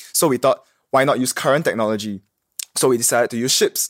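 A man with a normal speaking voice, medium in pitch, with ordinary pitch variation, in a dry, close sound with no echo on a very clean recording with a silent background. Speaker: engineering student. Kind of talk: interview. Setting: studio.

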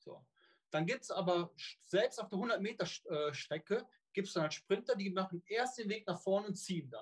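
Speaking at a moderate pace in a Cologne accent, a man uses a high pitch with ordinary variation, recorded dry and close with no echo. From Rhineland, Cologne. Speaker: long-distance swimmer and swim coach. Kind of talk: interview. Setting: video call.

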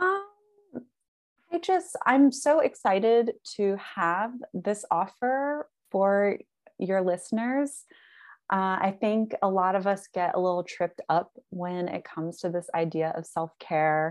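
A woman with an American accent at a very slow pace, lively intonation and a quiet background. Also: medium pitch for a woman. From US South. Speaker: yoga teacher. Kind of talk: casual interview chat.

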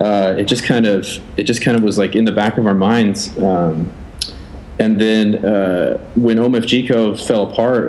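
The speaker has an American accent and fairly even intonation. Noticeable background noise is present. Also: man. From Oregon. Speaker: designer and agency founder. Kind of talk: casual interview. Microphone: built-in laptop mic.

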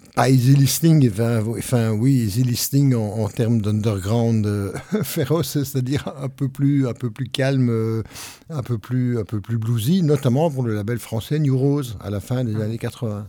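The tone is dark and mellow, with ordinary pitch variation. Delivery comes at a fairly slow pace. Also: man, medium pitch for a man. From Belgium. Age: old. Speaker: retired radio host and music journalist. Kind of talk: casual chat. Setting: youth centre.

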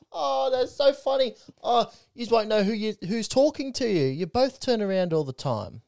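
On a very clean recording with a silent background, a man with an Australian accent talks at a moderate pace in a high pitch with very wide pitch swings, the sound dry and close with no echo. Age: 20s. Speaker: podcast co-host. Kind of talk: casual chat.

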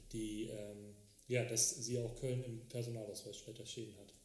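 Amid audible room echo, a man's somewhat breathy, medium-pitched voice stays monotone and flat. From Cologne area, Germany (Frechen). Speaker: personal trainer. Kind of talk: casual chat.

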